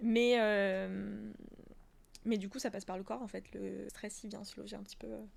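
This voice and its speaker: Fairly slow delivery with big swings in loudness. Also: woman. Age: 20s. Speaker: professional dancer and yoga teacher. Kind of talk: casual interview. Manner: laughs a lot.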